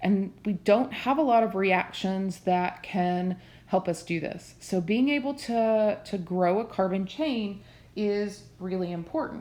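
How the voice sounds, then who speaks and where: A woman speaks at a fairly slow pace with a dark, mellow tone. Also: medium pitch for a woman, ordinary pitch variation. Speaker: chemistry teacher. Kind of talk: lecture. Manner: hesitant, many fillers.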